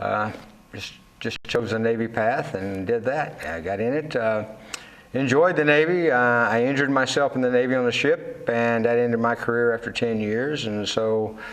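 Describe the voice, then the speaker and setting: A man with a Texan accent at a medium pitch and ordinary pitch variation, moderate pace, with audible room echo and noticeable background noise. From Texas, raised west of Fort Worth. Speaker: Navy veteran and cattle farmer. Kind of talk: interview. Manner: halting, many fillers.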